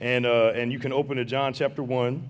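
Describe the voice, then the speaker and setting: Audible room echo surrounds a man with an American accent speaking at medium pitch. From St. Louis, Missouri (west/north side). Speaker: guest preacher, seminary professor. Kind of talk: sermon. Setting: church with congregation. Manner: animated.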